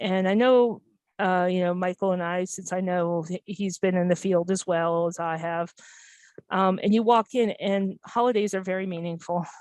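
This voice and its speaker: A woman with an American accent has an ordinary speaking voice at a medium pitch. She keeps a moderate pace and fairly even intonation over a quiet background. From US Midwest, Minnesota, small town. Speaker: hospice nurse. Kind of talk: presentation.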